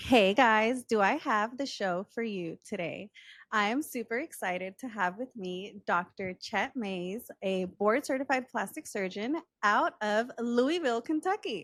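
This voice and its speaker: In a very clean recording with a silent background, a woman with an American accent speaks in a fairly high voice at a fairly slow pace. Her tone is upbeat and enthusiastic, her intonation lively, and the sound is dry and close with no echo. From Texas. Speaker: podcast host. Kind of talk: podcast interview. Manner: upbeat, enthusiastic.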